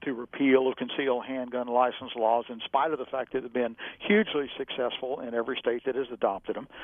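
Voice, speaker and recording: With an American accent, this man has a normal speaking voice, medium in pitch, moving at a fairly quick pace with fairly even intonation. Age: 60s. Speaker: gun rights advocate and attorney. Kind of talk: interview.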